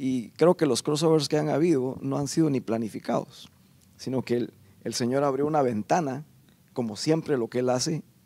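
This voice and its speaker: With a dark, mellow tone, a man talks at a moderate pace and ordinary pitch variation. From Guatemala. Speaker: podcast guest. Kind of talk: interview. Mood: calm, earnest. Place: stage. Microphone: handheld.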